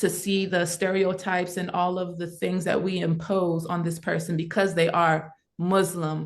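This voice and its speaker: A woman speaks with an American accent at a fairly low pitch. Her intonation stays monotone and flat. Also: moderate pace, hardly any pauses. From south Mississippi, USA. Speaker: artist, musician and advocate. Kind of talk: interview answer.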